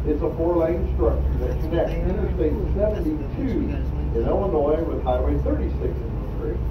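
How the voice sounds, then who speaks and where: A man speaks at a fairly slow pace. Loud background noise runs underneath. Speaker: riverboat tour guide. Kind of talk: tour commentary. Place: boat.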